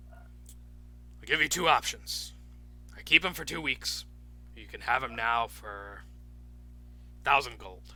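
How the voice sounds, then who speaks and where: A man puts on a character voice and talks fairly slowly, leaving long, frequent pauses. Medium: actual play. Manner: blunt, gruff, profane.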